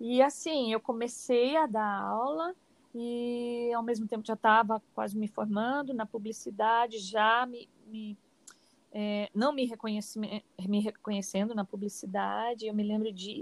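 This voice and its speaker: With an unremarkable speaking voice, a woman speaks at a fairly slow pace, fairly high in pitch and with fairly even intonation. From Paraná interior, Brazil. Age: 50s. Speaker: dance teacher and cultural producer. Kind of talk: interview.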